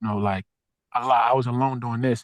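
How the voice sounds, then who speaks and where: In a dry, close sound with no echo and a quiet background, a man talks at a medium pitch with ordinary pitch variation. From Philadelphia, Southwest Philly. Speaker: social worker and nonprofit founder. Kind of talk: interview. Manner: casual.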